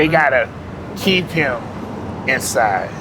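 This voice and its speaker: Over noticeable background noise and audible room echo, a man with an American accent speaks at a very slow pace. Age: 60s. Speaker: homeless former gang member. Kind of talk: street interview. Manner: casual, conversational.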